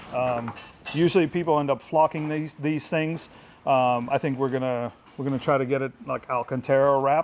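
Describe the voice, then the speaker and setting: A man's fairly high voice at a moderate pace, fairly even in intonation, with noticeable background noise. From Eastern Europe. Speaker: car builder and vlogger. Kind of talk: casual walkaround vlog. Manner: casual, filler-heavy.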